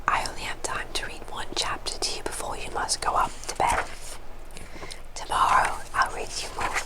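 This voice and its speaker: A woman's soothing whisper at a moderate pace, with noticeable background noise. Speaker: ASMR creator. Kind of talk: casual talk to camera, intro. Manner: whispered, soothing, soft.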